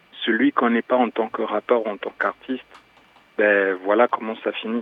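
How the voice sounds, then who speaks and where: The intonation is monotone and flat. Background noise is noticeable. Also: man. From Cameroon. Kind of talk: casual chat. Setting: phone call.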